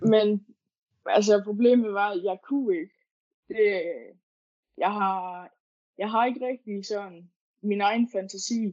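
A woman speaks at a very slow pace, leaving long, frequent pauses. Her medium pitch carries fairly even intonation. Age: 20s. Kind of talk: interview. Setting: online call. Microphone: poor sound quality.

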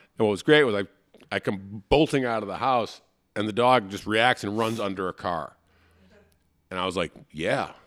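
A man talks at a moderate pace with a fairly low pitch and ordinary pitch variation, in an unremarkable speaking voice. The sound is dry and close with no echo. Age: 50s. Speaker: improv comedian and podcast host. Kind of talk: casual chat.

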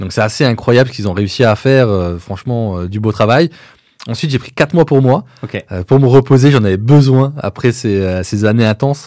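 Moving at a fairly quick pace, a man speaks at medium pitch with a dark, mellow tone. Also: ordinary pitch variation. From eastern France. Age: 30s. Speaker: entrepreneur. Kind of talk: interview.

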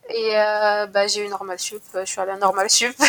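Bright and sharp in tone, the voice moves along at a fairly quick pace. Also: woman. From Morocco, Casablanca. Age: 20s. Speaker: student and venture capital analyst. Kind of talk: interview.

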